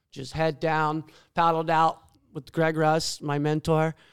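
A man with an ordinary speaking voice and a fairly high pitch talks at a fairly slow pace in a very clean recording with a silent background. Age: 40s. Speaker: big wave surfer. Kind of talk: casual chat.

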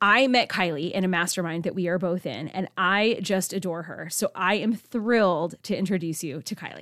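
A woman with a normal speaking voice talks at a moderate pace in a medium pitch, with ordinary pitch variation and hardly any pauses. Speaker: podcast host. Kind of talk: casual interview chat. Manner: warm, upbeat.

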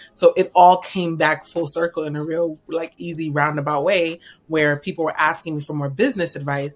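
A woman with an American accent speaks in a very deep, low pitch at a moderate pace, with hardly any pauses. Her intonation is fairly even, and music plays in the background. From New York. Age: 30s. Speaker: financial strategist. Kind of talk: interview.

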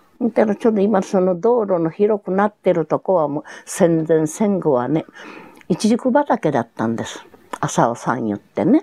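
In a Hiroshima accent, a woman speaks at a moderate pace and a medium pitch. Her pitch swings very widely, and the sound is dry and close with no echo. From Japan, Hiroshima. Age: 90s. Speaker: atomic bomb survivor. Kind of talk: testimony. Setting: at home.

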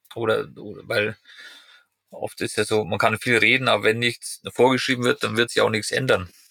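In a dry, close recording with no echo, a man with a bright, sharp tone and medium pitch talks at a moderate pace in a flat monotone. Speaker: podcast host. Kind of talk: casual interview. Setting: in a caravan in Norway.

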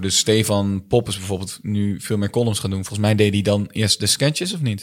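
A man's fairly low voice, an unremarkable speaking voice, with fairly even intonation. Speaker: comedian. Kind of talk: casual chat.

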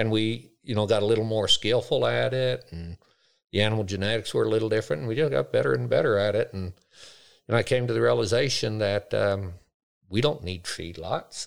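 An American accent marks this man's ordinary speaking voice, fairly low in pitch with ordinary pitch variation. He talks at a fairly quick pace in a very clean recording with a silent background. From United States. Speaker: grazier and agriculture educator. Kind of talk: interview. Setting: on location at a farm field day.

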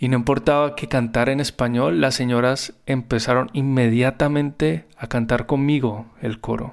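This man talks at a moderate pace in a normal speaking voice, with ordinary pitch variation. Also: medium pitch for a man. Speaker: music therapist and podcast host. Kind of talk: personal storytelling narration.

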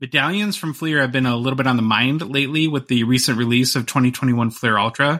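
A man with an American accent speaks in a bright, sharp tone on a very clean recording against a silent background. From northern Minnesota. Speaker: podcast host. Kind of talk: casual chat.

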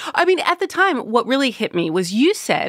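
A woman talks at a fairly quick pace with very wide pitch swings, in a dry, close sound with no echo. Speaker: radio host. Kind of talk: radio call-in discussion. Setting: studio.

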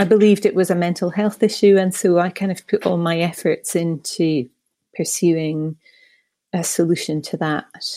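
In a Scottish accent, a woman talks at a moderate pace with a fairly low pitch. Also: fairly even intonation. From Scotland. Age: 40s. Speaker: patient sharing her story. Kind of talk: personal testimony. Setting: studio.

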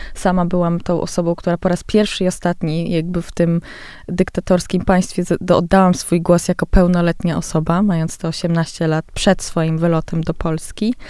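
A woman with a fairly low pitch speaks at a moderate pace in a dark, mellow tone and a monotone, flat intonation. The recording is very clean, with a silent background. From Poland, with teenage years in Tehran. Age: 30s. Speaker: visual artist. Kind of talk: interview. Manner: hesitant, many fillers.

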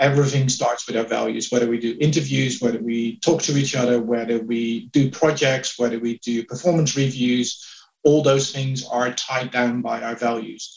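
With a Dutch accent, a man speaks at medium pitch and a moderate pace, using fairly even intonation amid noticeable background noise. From Netherlands. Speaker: HR executive. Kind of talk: interview. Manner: hesitant with fillers.

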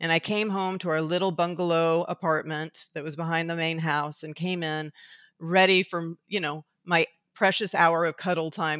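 A woman's fairly low, monotone, flat voice at a moderate pace, on a very clean recording with a silent background. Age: 50s. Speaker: therapist. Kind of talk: interview.

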